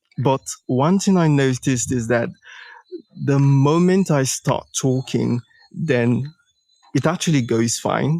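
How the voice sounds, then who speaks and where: In a Nigerian accent, a man speaks at a very slow pace in a dark, mellow tone with ordinary pitch variation. Long, frequent pauses break up his speech, and the sound is dry and close with no echo. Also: very even loudness. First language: a Nigerian language, English second. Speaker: startup founder, coaching participant. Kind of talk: live coaching session. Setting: live audio stream. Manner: halting, many fillers.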